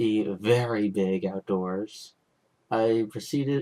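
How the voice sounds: Natural reading aloud with ordinary pitch variation, background quiet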